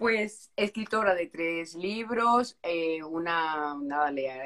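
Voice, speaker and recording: With a plain, everyday voice, a woman speaks at a fairly low pitch with lively intonation. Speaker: live stream host. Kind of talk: casual live stream interview.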